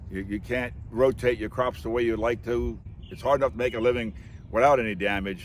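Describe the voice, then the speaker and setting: A man's fairly low voice with vocal fry and an American accent, ordinary pitch variation and a fairly quick pace. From New Jersey. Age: 60s. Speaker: dairy farmer. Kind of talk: interview.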